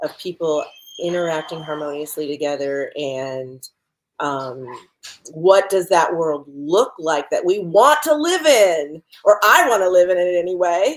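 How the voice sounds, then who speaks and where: With lively intonation and a fairly slow pace, a woman talks in a normal speaking voice. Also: fairly low pitch for a woman. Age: 60s. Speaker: photographer. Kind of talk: interview.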